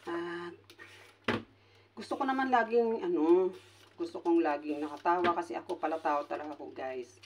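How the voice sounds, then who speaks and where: A moderate pace broken by long, frequent pauses. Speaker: vlogger and caregiver. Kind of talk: casual vlog talk to camera. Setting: hotel resort. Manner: loud laugh, she says.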